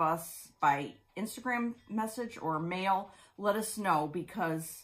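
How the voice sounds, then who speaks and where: Somewhat breathy, a woman speaks with lively intonation. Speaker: crafting vlog co-host. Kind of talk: casual vlog chat. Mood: warm, grateful. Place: home room. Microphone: phone near.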